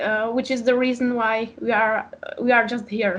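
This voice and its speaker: A woman with a Czech accent speaks at a high pitch, keeping her intonation fairly even. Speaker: author and philosophy PhD student. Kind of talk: interview. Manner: halting, many fillers.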